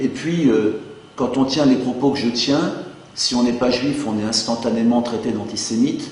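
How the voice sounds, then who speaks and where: Against noticeable background noise and audible room echo, a man talks with fairly even intonation. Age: 50s. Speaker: math teacher and activist. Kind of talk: political statement. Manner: hesitant, with fillers.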